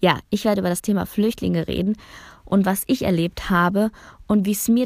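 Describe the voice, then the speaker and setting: A woman speaks at medium pitch in a dark, mellow tone with fairly even intonation. The recording is very clean, with a silent background. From Bosnia, raised in Germany from early childhood. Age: 20s. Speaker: podcaster. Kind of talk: personal monologue, casual.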